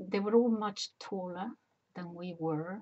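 Against a quiet background, a woman speaks very slowly in a dark, mellow tone. Her pitch varies an ordinary amount. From Spain. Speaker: personal memoir vlogger. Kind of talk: casual talk to camera. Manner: hesitant, rambling. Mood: warm, reflective. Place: home room. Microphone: webcam.

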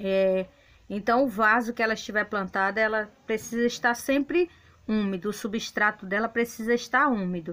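Bright, sharp tone from a woman pitched fairly high. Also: ordinary pitch variation, moderate pace, very even loudness. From Brazil, Bahia. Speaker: gardening video creator. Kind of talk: gardening tutorial; casual plant tour narration. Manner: casual, hesitant fillers. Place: garden. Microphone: phone near.

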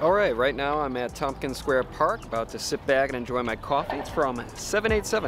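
A man talks at a very fast pace. The sound is dry with no echo, and clear music plays in the background. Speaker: travel vlogger. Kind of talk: casual vlog chat. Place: garden. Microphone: phone near.

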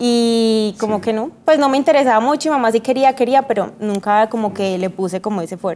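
This woman speaks at a fairly quick pace with hardly any pauses. Her pitch is fairly high, with ordinary variation. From Colombia, Antioquia (paisa), also Eje Cafetero; Antioquia, Colombia. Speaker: model; interview guest. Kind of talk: TV interview. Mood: relaxed, smiling, reminiscing. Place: studio.

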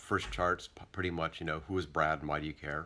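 The tone is bright and sharp. Light background noise sits behind it. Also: man. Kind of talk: casual vlog chat. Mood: relaxed weekend. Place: home room. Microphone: phone near.

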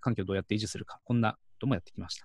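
A man speaks in a dry sound with no echo. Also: quiet background. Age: 40s. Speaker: medical gas and home respiratory support worker; presenter. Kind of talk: conference talk; presentation talk.

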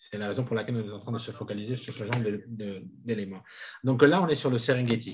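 Somewhat breathy at medium pitch, a man rushes at a very fast pace with big swings in loudness, long, frequent pauses and ordinary pitch variation. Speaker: simultaneous interpreter. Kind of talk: simultaneous interpretation of a webinar. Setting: video call. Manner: halting, many repeated words.

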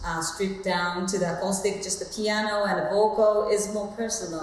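Speaking with a Japanese accent, a woman uses a medium pitch amid audible room echo. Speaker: soul singer. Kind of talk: interview answer. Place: home room.

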